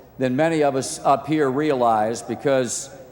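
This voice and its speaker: A man speaks with an American accent and ordinary pitch variation. Noticeable background noise can be heard. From Virginia, US. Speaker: sportscaster. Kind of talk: award acceptance speech. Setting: outdoor ceremony PA system.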